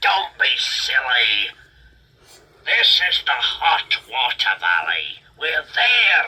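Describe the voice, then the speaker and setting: A man's put-on character voice, very slow and very even in loudness. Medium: read story. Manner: blunt, terse.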